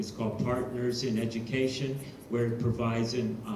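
Light background noise and audible room echo are present. Over them, a man talks at a moderate pace. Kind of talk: meeting report. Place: hall.

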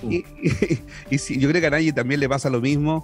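A man's fairly high voice at a moderate pace, ordinary pitch variation, dry sound with no echo and faint music in the background. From Chile. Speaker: radio announcer. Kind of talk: interview answer. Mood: relaxed, smiling. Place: studio. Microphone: studio mic.

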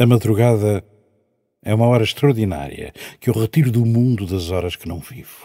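In a quiet background, a man speaks with a dark, mellow tone and ordinary pitch variation. His loudness swings widely. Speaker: poet reciting. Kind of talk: poetry reading, spoken word. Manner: slow, dreamy, contemplative. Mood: reflective, dramatic. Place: stage. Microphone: handheld.

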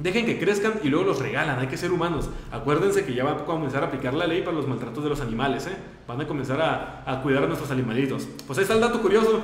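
A man talks at a very fast pace with lively intonation and a fairly high pitch. Noticeable background noise and audible room echo surround him. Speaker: radio host. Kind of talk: casual chat. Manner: halting.

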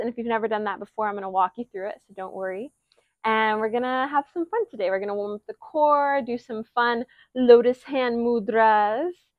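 Over a quiet background, a woman talks at a moderate pace with ordinary pitch variation in a dry sound with no echo. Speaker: yoga instructor. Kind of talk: yoga class intro and guidance. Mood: warm, cheerful, laughing. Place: garden. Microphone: lapel.

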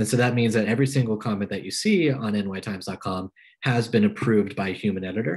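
Someone speaks with an American accent and ordinary pitch variation against a quiet background. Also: man. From Pennsylvania, US. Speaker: journalist. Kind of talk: lecture. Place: home room. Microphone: video call.

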